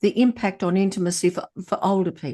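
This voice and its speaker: The background is quiet. A woman talks with an Australian accent. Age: 70s. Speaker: moderator, journalist. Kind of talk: panel discussion. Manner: halting.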